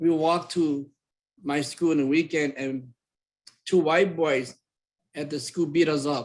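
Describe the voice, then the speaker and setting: A man with a Southeast Asian accent, fairly slow and fairly even in intonation, with long, frequent pauses. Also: fairly high pitch for a man. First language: Hmong. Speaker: community presenter. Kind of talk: personal testimony.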